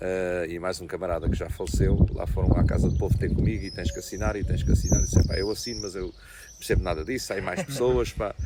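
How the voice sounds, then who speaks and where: Noticeable background noise fills the clip. Over it, a man speaks very fast. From Portugal, Ribatejo (Azambuja area). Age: 60s. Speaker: local politician. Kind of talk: interview. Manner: halting, with many repetitions.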